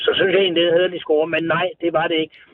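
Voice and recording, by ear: A man talks at a fairly high pitch with little pitch movement, in a dry, close sound with no echo.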